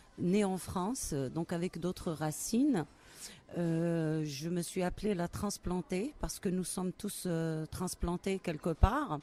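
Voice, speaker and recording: A woman's dark, mellow, fairly low voice in an Algerian accent, very slow, with ordinary pitch variation. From Algeria, Kabylie. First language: Kabyle (speaking French). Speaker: poet. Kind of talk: interview. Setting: book festival. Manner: hesitant, many fillers.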